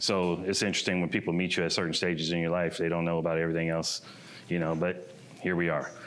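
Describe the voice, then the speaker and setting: A man with an American accent, very deep and low in pitch, flat and monotone, at a very fast pace, with audible room echo. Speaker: painter and muralist. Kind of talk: presentation talk. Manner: loud; casual, conversational.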